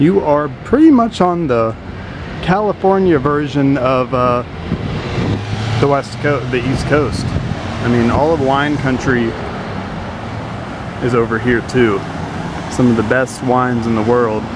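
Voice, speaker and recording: The speaker moves at a fairly slow pace with long, frequent pauses. The sound is dry with no echo, and noticeable background noise is present. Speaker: local tour guide. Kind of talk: casual vlog chat. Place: street. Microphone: phone near.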